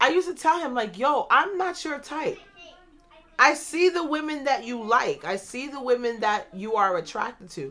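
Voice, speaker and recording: A woman with a high pitch and a bright, sharp tone uses a raised, projected voice at a moderate pace, with very wide pitch swings and big swings in loudness. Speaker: podcast host. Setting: home recording, kids in background.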